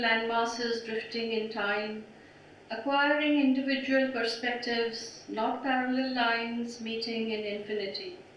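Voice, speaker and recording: Someone talks at a fairly slow pace and with fairly even intonation over noticeable background noise. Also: woman. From India. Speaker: poet. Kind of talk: poetry reading.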